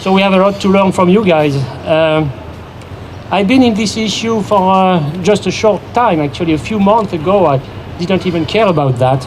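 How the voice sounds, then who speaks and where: There is noticeable background noise as a man with a high-pitched voice speaks at a moderate pace. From abroad, not native English speaker. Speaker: environmental activist. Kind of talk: public speech at rally. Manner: halting, many fillers.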